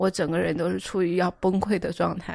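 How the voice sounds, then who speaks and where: A woman is heard against a quiet background with a dry sound with no echo. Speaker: book editor. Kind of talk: casual discussion of a book. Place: home room.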